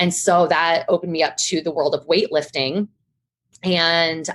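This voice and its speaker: A normal speaking voice moves at a moderate pace. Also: woman. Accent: American. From US Midwest (Ohio). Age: 30s. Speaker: personal trainer. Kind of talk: interview. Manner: casual, conversational.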